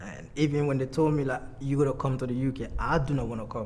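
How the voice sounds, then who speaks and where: With audible room echo, a man speaks at a very fast pace. His pitch is medium and his intonation fairly even. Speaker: documentary subject. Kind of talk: personal testimony.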